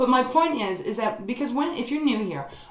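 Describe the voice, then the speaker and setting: Audible room echo surrounds a woman as she speaks. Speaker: tarot reader. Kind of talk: tarot reading monologue. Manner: fast; hesitant, many fillers.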